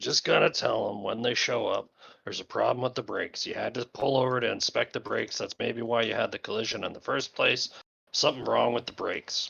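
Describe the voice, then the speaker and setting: A man puts on a character voice that sounds raspy. He delivers it at a fairly quick pace. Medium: actual play. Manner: gruff, blunt.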